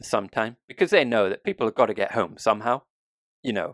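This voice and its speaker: Very wide pitch swings in a British accent, dry and close with no echo, in a very clean recording against a silent background. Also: man. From UK. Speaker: news podcast co-host. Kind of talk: casual news discussion.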